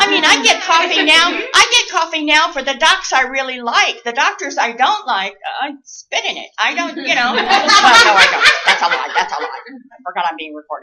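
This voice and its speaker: A woman's raised, projected voice, extremely high in pitch, at a moderate pace with very wide pitch swings and big swings in loudness. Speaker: nurse educator. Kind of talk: lecture.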